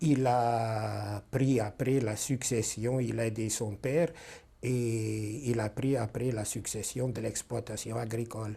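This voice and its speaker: At a very slow pace, a man speaks in a dark, mellow, somewhat breathy tone at a medium pitch. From Carpathian Ruthenia (then Czechoslovakia, later Hungary). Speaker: Holocaust survivor. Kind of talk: testimony interview. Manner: hesitant, many fillers.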